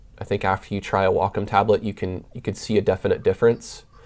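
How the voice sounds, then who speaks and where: This man speaks at a fairly low pitch. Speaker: digital artist streamer. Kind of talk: live stream chat. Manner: casual, with filler words.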